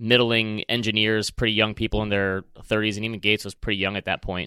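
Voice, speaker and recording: A man with a Michigan accent talks at a very fast pace, his fairly low voice bright and sharp, in a dry, close, very clean recording with no echo and a silent background. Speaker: podcast host. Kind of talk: casual chat.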